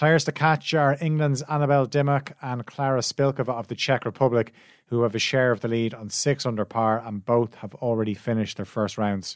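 An unremarkable speaking voice goes at a fairly quick pace with hardly any pauses and ordinary pitch variation. The sound is dry and close with no echo, a very clean recording over a silent background. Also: man, medium pitch for a man. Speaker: sports news presenter. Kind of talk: sports news reading. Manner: brisk, even, formal newsreader delivery; fluent, steady pace through lists of names.

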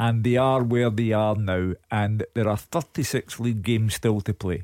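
A man talks at a fairly slow pace. His tone is slightly mellow.

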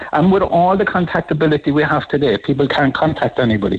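Speaking very fast with an Irish accent, a man uses a fairly high pitch and lively intonation. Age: 70s. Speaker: radio caller. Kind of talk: radio phone-in.

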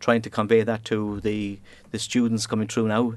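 In a Cork accent, a man talks at a very fast pace. His pitch is fairly low and the background quiet. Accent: Cork Irish. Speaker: engineering operations manager. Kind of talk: interview.

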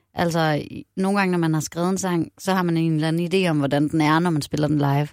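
Talking at a very fast pace, a woman keeps a fairly low pitch with ordinary pitch variation. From Denmark, Aarhus. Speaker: singer-songwriter. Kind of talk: casual interview chat.

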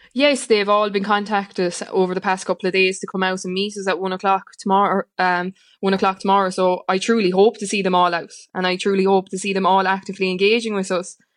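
Very fast speech from a woman with an Irish accent, medium pitch, and monotone, flat intonation, over a quiet background. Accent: rural Irish (Limerick). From Ireland, County Limerick. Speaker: farming organisation leader. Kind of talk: radio interview.

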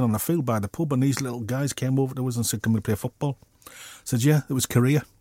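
Very fast speech from a man comes through a dry, close sound with no echo on a very clean recording with a silent background. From Middlesbrough, northeast England. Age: 60s. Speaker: artist. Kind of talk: interview.

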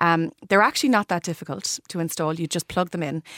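A woman with an Irish accent speaks at a very fast pace in a dry, close sound with no echo. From Ireland, Limerick. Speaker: interiors expert. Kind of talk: radio interview.

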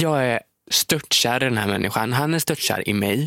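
In a normal speaking voice, a man talks at a moderate pace with lively intonation and a dry, close sound with no echo. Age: 20s. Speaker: social media creator and podcast co-host. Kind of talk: casual chat. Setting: studio.

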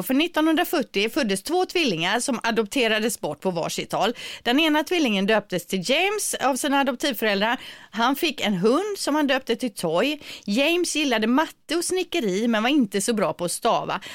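On a very clean recording with a silent background, a woman speaks at a high pitch and a moderate pace, with very wide pitch swings but very even loudness. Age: 40s. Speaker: radio morning show host. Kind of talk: casual radio chat. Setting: home studio.

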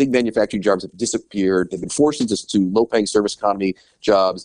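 A man with an American accent talks at a very fast pace with hardly any pauses, his fairly low voice sounding dry and close with no echo. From United States. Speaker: newspaper editor. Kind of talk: radio interview.

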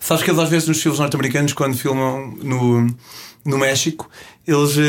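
A man keeps to a medium pitch and moves fairly quickly, his pitch varying in an ordinary way. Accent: European Portuguese. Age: 30s. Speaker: travel show host and hitchhiking traveler. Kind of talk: interview. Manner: hesitant with repetitions.

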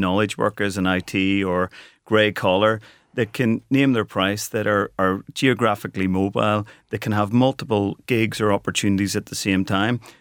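On a very clean recording with a silent background and a dry, close sound with no echo, a man with a Belfast accent speaks at a fairly low pitch with ordinary pitch variation. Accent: Belfast Northern Irish. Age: 40s. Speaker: company co-founder and managing director. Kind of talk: radio interview.

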